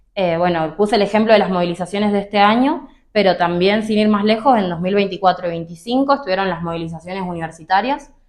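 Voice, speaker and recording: This woman talks at a very fast pace with hardly any pauses. Her pitch is medium with ordinary variation. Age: 20s. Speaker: political activist. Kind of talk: interview.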